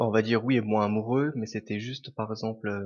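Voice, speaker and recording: A man talks fairly quickly at a medium pitch, with fairly even intonation. He has a normal speaking voice. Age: 20s. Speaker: restaurant manager. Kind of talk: testimony.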